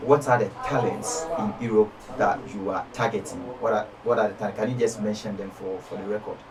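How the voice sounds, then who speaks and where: A man speaks at a fairly quick pace and medium pitch. Noticeable background noise is present. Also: fairly even intonation. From Ghana. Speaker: online video interviewer. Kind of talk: casual interview.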